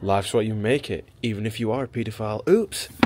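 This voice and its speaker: Noticeable noise sits behind a man whose pitch shifts in an ordinary way. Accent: Sheffield. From Sheffield, Yorkshire; England. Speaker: music producer. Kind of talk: casual vlog talk. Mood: joking, irreverent. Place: shop. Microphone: phone near.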